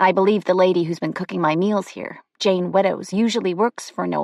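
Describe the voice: Ordinary pitch variation in plain reading aloud, the background quiet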